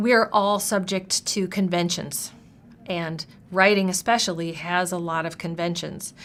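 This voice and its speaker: A woman with an ordinary speaking voice talks at a medium pitch and a fairly slow pace with fairly even intonation. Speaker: university writing instructor. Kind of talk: interview answer.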